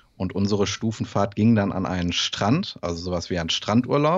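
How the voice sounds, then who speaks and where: Against a quiet background, a man talks at a moderate pace in a fairly low pitch with ordinary pitch variation. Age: 20s. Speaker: bodybuilding coach and student; bodybuilding coach. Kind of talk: casual interview. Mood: personal, reflective story. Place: home room. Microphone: studio mic.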